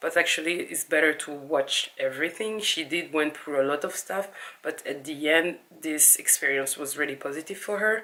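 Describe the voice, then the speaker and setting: A woman with a non-native accent speaks at a moderate pace and ordinary pitch variation. Her pitch is very deep and low, and her tone is bright and sharp. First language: not English. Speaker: video blogger and interviewer. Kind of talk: casual vlog talk to camera.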